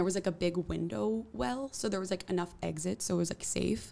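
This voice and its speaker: A woman's fairly low voice in a New York accent, with a dark, mellow tone. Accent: New York area American English. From New Jersey. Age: 20s. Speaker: musician; guest. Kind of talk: casual interview. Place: studio. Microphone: studio mic.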